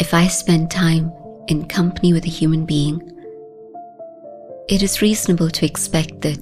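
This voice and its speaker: Over music in the background, a woman speaks at a fairly slow pace in a fairly low pitch with ordinary pitch variation. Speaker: spiritual teacher, meditation guide. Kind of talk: guided meditation commentary.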